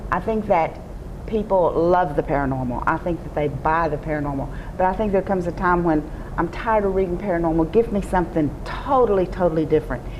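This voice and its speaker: With a Texas accent, a woman at a fairly low pitch talks at a very fast pace over noticeable background noise. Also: ordinary pitch variation. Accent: Southern US (Texas). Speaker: romance novelist. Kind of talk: interview answer. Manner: charming, humorous.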